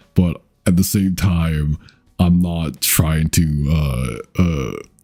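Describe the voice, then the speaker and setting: Over music in the background, a man with a very deep, low pitch speaks at a very slow pace, his intonation fairly even and his loudness very even. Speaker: vtuber streamer. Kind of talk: casual chat. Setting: livestream. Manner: halting.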